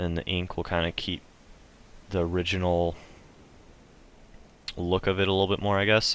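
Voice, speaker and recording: A man speaks at a very deep, low pitch in monotone, flat intonation. Long, frequent pauses break up his speech. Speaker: video game tutorial maker. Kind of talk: tutorial. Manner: fast; casual with many fillers.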